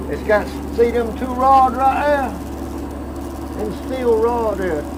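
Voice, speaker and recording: With an American accent and an extremely high voice, a man speaks very slowly amid noticeable background noise and audible room echo. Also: ordinary pitch variation. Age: 70s. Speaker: shrimp boat captain. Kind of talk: casual chat.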